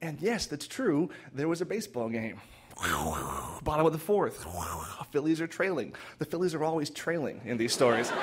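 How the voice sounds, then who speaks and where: Talking at a moderate pace, a man has a plain, everyday voice, fairly high in pitch, with lively intonation. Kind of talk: live storytelling performance. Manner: conversational, heartfelt.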